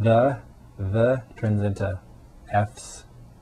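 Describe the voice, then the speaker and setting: Music in the background beneath a man speaking at a fairly low pitch. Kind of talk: casual video response talk to camera.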